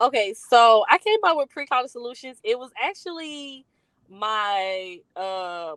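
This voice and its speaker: Using a Southern US accent, a woman speaks at a fairly slow pace in a high pitch with very wide pitch swings and big swings in loudness. The sound is dry and close with no echo. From US South, rural north Louisiana. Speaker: college readiness consultant, business founder. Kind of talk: interview. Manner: many fillers (um, uh).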